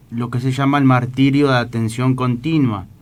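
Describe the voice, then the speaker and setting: This man speaks at a moderate pace and a medium pitch. His intonation stays monotone and flat, with audible room echo around it. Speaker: radio host. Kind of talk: religious radio talk. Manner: halting.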